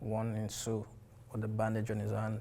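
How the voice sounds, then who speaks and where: Here a man talks at a moderate pace, his medium-pitched voice carrying a dark, mellow tone. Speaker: documentary subject. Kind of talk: personal testimony.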